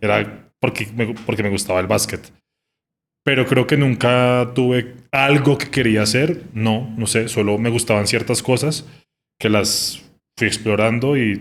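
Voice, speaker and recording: Speaking fairly slowly, the man keeps a medium pitch and fairly even intonation. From Colombia, Bogotá. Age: 30s. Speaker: music journalist. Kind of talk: casual interview conversation. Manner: hesitant, many fillers.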